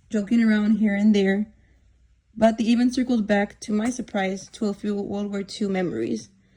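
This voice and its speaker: Her tone dark and mellow, a woman speaks at a moderate pace, somewhat breathy, with fairly even intonation. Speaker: student interviewer. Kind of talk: casual talk to camera.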